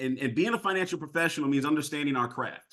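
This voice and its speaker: A loud, animated voice with a bright, sharp tone over a quiet background. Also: man. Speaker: sales trainer. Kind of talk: training session.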